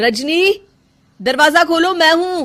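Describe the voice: A put-on character voice with a fairly bright tone and lively intonation, at a slow pace. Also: woman, extremely high pitch for a woman.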